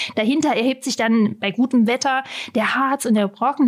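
At a moderate pace, a woman talks in a high pitch. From Saxony-Anhalt, Germany (Halberstadt). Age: 30s. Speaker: tourism advisor. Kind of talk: interview. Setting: studio.

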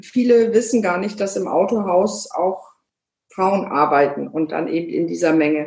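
In an ordinary speaking voice, a woman talks at a fairly slow pace with ordinary pitch variation. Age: 50s. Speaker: car dealership managing director. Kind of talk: interview. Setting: video call.

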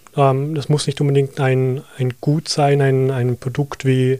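In a slight Vorarlberg accent, a man with a fairly high pitch speaks at a fairly slow pace and in a flat monotone, with a dry, close sound and no echo. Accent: Vorarlberg Austrian German, light. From Austria, Vorarlberg. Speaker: digital advertising consultant. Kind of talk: podcast interview.

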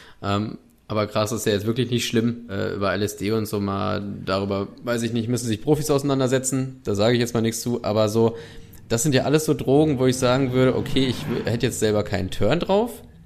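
With music playing behind him, a man of medium pitch speaks at a fairly quick pace with ordinary pitch variation. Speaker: podcast co-host. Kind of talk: casual chat. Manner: animated.

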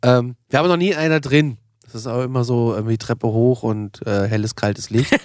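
On a very clean recording with a silent background, a man talks fairly quickly in an ordinary speaking voice, medium-pitched with ordinary pitch variation. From Germany, northern Hesse. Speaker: podcast host. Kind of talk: casual chat. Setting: studio.

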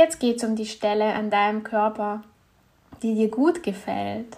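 A woman's fairly high-pitched voice with a warm, calm tone. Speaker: meditation guide and women's health coach. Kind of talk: guided meditation. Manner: calm, slow, soothing, gentle; warm, intimate, encouraging.

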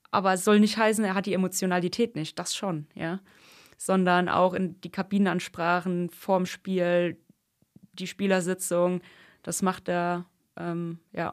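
On a very clean recording with a silent background, a woman talks at a fairly slow pace in a monotone, flat intonation. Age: 30s. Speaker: youth football assistant coach. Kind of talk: podcast interview. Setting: podcast studio.

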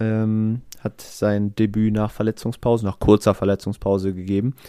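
Recorded very cleanly against a silent background with a dry, close sound and no echo, a man speaks at a moderate pace in a dark, mellow tone and a fairly low pitch. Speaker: sports podcast co-host. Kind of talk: casual chat.

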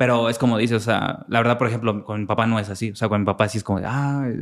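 Talking very fast with fairly even intonation, a man is heard on a very clean recording with a silent background. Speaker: podcast co-host. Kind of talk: casual chat.

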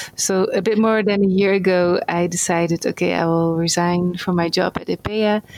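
This woman has a fairly low pitch and fairly even intonation. She speaks at a moderate pace. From Netherlands. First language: Dutch. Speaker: NGO worker in rural development. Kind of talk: interview.

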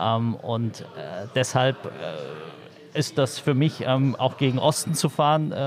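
Over noticeable background noise, a man speaks at a very slow pace in a medium pitch with ordinary pitch variation. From Berlin (East, Marzahn-Hellersdorf). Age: 30s. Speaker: politician. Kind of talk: interview. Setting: on a train. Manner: halting, many fillers.

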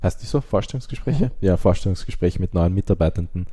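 This man's voice is somewhat breathy, with a dark, mellow tone and ordinary pitch variation. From Austria. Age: 20s. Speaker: screenwriter and director. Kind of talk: interview.

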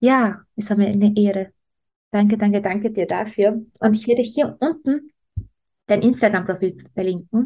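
A woman speaks at a moderate pace with a fairly high pitch and fairly even intonation. Her tone is dark and mellow, and somewhat breathy. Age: 30s. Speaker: business coach and podcast host. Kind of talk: interview.

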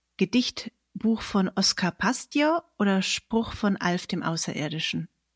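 A woman's somewhat breathy voice at medium pitch, very slow and lively in intonation, in a dry, close sound with no echo. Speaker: poet and podcast host. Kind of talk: casual interview with quiz. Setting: online recording.

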